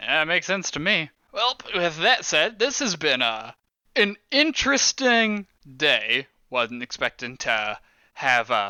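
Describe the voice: In a put-on character voice, a man speaks slowly at a fairly high pitch with big pitch swings and a clear, smooth yet bright, sharp tone.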